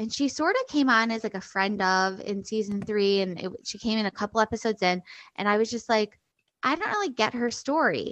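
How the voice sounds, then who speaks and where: A woman speaks in an ordinary speaking voice with fairly high pitch. She moves at a fairly quick pace with ordinary pitch variation. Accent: American. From US Midwest (Chicago). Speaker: stand-up comedian and podcast host. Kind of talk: casual chat.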